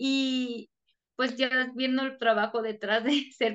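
A woman with a Mexican accent, very slow and monotone, flat in intonation, against a quiet background. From Mexico. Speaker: Spanish teacher. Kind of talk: interview.

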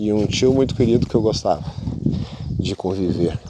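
A man speaks in a relaxed tone with ordinary pitch variation. Noticeable background noise runs underneath. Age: 40s. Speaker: podcaster. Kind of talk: casual monologue. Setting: outdoors on a beach.

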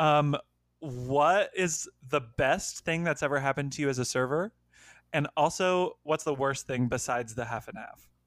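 A man with an ordinary speaking voice talks at a moderate pace in a fairly high pitch with ordinary pitch variation, on a very clean recording with a silent background. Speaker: podcast co-host. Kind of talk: casual comedic chat.

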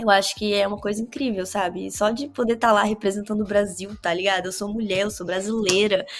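Noticeable background noise runs under a woman speaking at a very fast pace with hardly any pauses. Her pitch is medium and her intonation fairly even. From Brazil, Vitória, Espírito Santo. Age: 20s. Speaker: cannabis grower and hashmaker. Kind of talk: casual interview chat.

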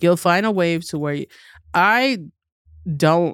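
A woman speaks with a New York accent at a fairly low pitch and lively intonation. The recording is very clean, with a silent background. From New York City, Queens. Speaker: comedian. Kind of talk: casual chat. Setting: studio. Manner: animated.

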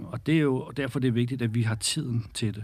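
On a very clean recording with a silent background, a man speaks in a medium pitch with ordinary pitch variation and a somewhat breathy quality. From Denmark, North Zealand (Birkerød). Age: 40s. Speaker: women's football league director. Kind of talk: interview.

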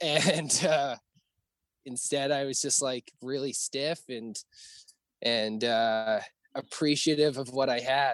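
The pitch rises and falls in an ordinary way at a fairly slow pace. The recording is very clean, with a silent background. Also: man. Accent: western Canadian. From Alberta, Canada. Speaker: hardcore band vocalist. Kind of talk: casual chat.

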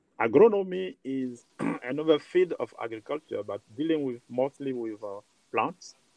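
With a French accent, a man speaks at a moderate pace and a fairly high pitch. His intonation is lively, and his loudness swings widely. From Côte d'Ivoire. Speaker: agronomist researcher. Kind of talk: interview.

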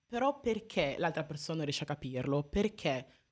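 A woman with a fairly low pitch talks at a moderate pace in an ordinary speaking voice. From Italy (Modena area), foreign-born parents. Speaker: activist, university student. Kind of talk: live radio interview. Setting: radio studio.

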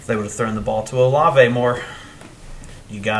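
A man talks with an American accent. Audible room echo and noticeable background noise fill the recording. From Ohio, US Midwest. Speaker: podcast co-host. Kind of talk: casual chat.

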